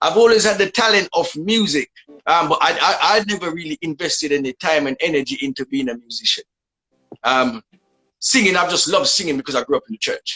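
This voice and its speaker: Speaking very fast with a Jamaican accent, a man has a high-pitched, bright, sharp tone. His pitch swings very widely, and the sound is dry and close with no echo. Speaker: dancehall musician. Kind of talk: interview.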